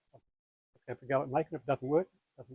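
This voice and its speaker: Here a man with an Australian accent uses a fairly high pitch and fairly even intonation. The sound is dry and close, with no echo. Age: 80s+. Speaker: fishing lure maker. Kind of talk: interview answer.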